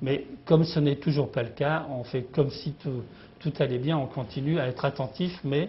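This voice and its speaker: A man with a fairly high pitch talks at a moderate pace, somewhat breathy, with ordinary pitch variation. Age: 60s. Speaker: company founder and CEO. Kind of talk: business interview. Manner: halting, many hesitations.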